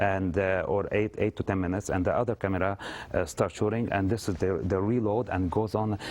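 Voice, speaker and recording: A man with an Arabic accent speaks at a fairly low pitch and a fairly quick pace. His intonation is monotone and flat, and his loudness stays very even. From Lebanon. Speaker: actor. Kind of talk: TV interview. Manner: halting, many fillers.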